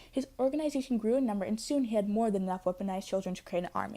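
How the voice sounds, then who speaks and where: Against a silent background in a very clean recording, a woman with a fairly high pitch and a dark, mellow tone speaks with lively intonation. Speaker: casting call announcer, animation project creator. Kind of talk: reading a script. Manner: fast, rushed.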